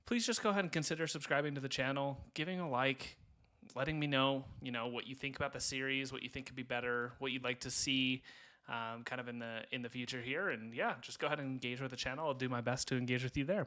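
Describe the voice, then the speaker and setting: Bright and sharp in tone, the speech runs at a very fast pace with fairly even intonation on a very clean recording with a silent background. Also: man. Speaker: gaming YouTuber. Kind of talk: gameplay commentary. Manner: speaking a bit louder than usual.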